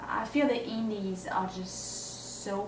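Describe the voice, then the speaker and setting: A woman with a French accent, audible room echo and light background noise. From France. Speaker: singer-songwriter. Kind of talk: video blog monologue. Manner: hesitant, many fillers. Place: home room. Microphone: camera far.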